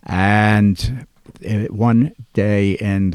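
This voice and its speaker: A man with an American accent speaks at a fairly low pitch with fairly even intonation. The sound is dry and close, with no echo. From New Jersey, West Orange near Newark. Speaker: record collector and label founder. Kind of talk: interview storytelling.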